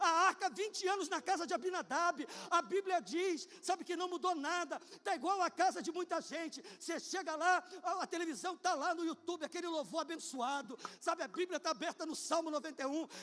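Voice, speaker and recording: A man's extremely high, animated voice at a fairly quick pace, with ordinary pitch variation. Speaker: pastor. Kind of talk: sermon. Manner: fast.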